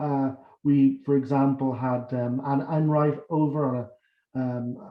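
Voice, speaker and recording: With a Dublin accent, a man speaks at a fairly high pitch in a monotone, flat intonation. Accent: Irish, Dublin. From Ireland, Dublin. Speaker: academic and election candidate. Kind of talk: campaign speech.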